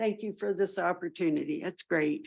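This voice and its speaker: A woman with a plain, everyday voice talks at a moderate pace with lively intonation on a very clean recording with a silent background. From southwestern Ontario, Canada. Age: 60s. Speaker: municipal council candidate. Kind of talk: candidate interview statement.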